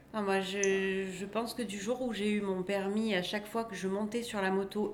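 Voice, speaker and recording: Audible room echo colors this recording. The speaker is a woman with a medium-pitched voice. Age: 40s. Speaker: motorcyclist sharing accident story. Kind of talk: casual chat.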